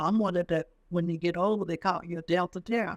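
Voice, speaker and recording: In a very clean recording with a silent background and a dry, close sound with no echo, a woman with an unremarkable speaking voice speaks at medium pitch and moderate pace with ordinary pitch variation. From US South, southwest Virginia. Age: 60s. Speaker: military veteran. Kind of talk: oral history interview. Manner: casual conversational.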